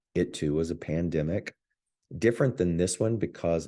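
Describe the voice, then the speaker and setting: With a dark, mellow tone, a man speaks in a very deep, low voice that shows ordinary pitch variation. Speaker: spiritual teacher. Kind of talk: spiritual talk.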